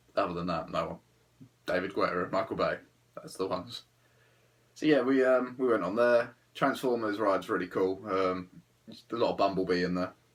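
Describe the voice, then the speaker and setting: With an English accent, a man speaks at a fairly quick pace and fairly low pitch. His pitch variation is ordinary, and he takes long, frequent pauses. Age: 20s. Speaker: travel vlogger. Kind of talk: casual monologue. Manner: hesitant, filler-heavy.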